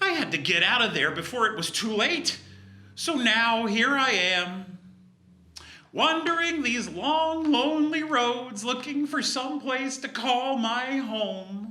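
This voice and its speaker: Someone puts on a character voice, fairly high in pitch, at a fairly slow pace. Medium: read story. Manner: brash, sassy.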